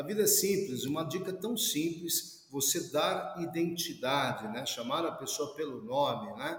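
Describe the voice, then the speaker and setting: In a room with audible echo, a man with a high pitch talks with hardly any pauses and ordinary pitch variation. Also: fairly slow pace. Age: 50s. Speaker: professor and security specialist. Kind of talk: interview.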